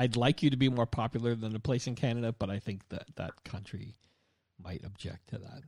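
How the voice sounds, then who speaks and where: Somewhat breathy and fairly quick, a man speaks at medium pitch with ordinary pitch variation and big swings in loudness. The recording sounds dry and close, with no echo. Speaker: podcast host. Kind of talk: casual interview.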